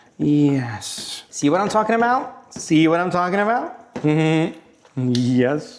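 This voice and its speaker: An animated man in a Roman accent, very wide pitch swings, noticeable background noise behind him. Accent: Italian (Roman). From Italy, Rome. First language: Italian. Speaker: cooking channel host. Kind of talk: cooking tutorial. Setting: home kitchen.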